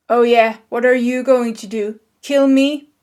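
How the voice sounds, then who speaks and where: A woman puts on a character voice, high-pitched and flat in intonation. She speaks at a fairly slow pace. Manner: mocking.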